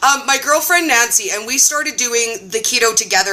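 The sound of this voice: Over noticeable background noise, a woman with a Canadian accent talks at a fairly quick pace in a high pitch with lively intonation.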